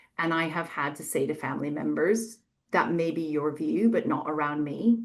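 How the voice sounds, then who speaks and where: With an American accent, a woman speaks in a plain, everyday voice at a fairly low pitch, using ordinary pitch variation over a quiet background. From United States. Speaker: EDI author and practitioner. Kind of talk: panel webinar discussion. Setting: webinar video call.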